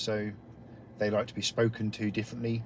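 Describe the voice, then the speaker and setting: A man with an English accent talks at a fairly quick pace and medium pitch. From England. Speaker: guest paranormal investigator. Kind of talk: casual chat.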